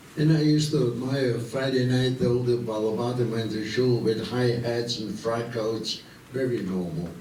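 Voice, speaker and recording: A man with an Austrian accent and medium pitch talks at a moderate pace with ordinary pitch variation, against noticeable background noise and audible room echo. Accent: Austrian German-tinged American English. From Vienna, Austria. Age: 90s. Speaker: war veteran. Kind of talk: talk to students. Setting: school assembly.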